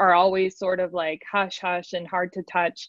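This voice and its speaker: A woman talks at a fairly quick pace in an unremarkable speaking voice. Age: young. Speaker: podcast producer. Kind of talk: panel discussion.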